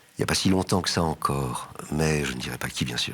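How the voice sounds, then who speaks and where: Noticeable background noise sits behind a man's voice. His pitch is very deep and low, and his pace moderate. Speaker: actor and theatre director. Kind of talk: interview answer. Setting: studio.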